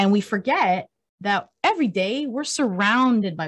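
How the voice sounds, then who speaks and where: Over a quiet background, a woman speaks in a somewhat breathy voice at a medium pitch. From Cuba, raised in the US. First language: Spanish. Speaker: country singer. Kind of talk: casual interview. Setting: radio studio.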